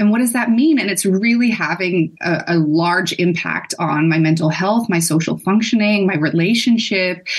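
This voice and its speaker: Over noticeable background noise, a woman of medium pitch talks at a moderate pace with hardly any pauses. Her loudness is very even, and her pitch variation is ordinary. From Netherlands. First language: Dutch. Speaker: perinatal mental health therapist. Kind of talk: interview.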